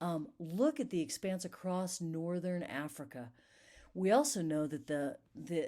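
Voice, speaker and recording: A woman speaks at a fairly slow pace in a fairly low pitch, her tone dark and mellow with lively intonation. The recording is very clean, with a silent background. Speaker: art history teacher. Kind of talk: recorded lecture. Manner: halting, many fillers.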